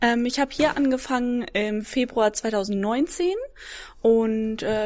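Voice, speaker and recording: A woman speaks in an unremarkable speaking voice with a fairly high pitch. Her pitch varies in an ordinary way. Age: 20s. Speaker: fitness coach. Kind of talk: casual interview.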